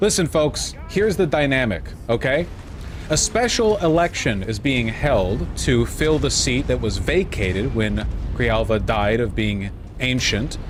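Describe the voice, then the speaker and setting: The pace is moderate. Audible room echo and noticeable background noise are present. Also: man. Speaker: political streamer. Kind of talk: live stream commentary. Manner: casual, halting with fillers.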